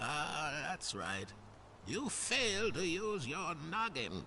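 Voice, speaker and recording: Over clear background noise, a man does a put-on character voice at a high pitch and a very slow pace. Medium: video game. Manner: playful, cheeky.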